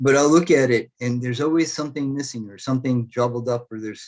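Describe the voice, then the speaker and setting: At a fairly quick pace, a man talks in a plain, everyday voice of medium pitch with ordinary pitch variation. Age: 60s. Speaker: spiritual healer. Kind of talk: interview.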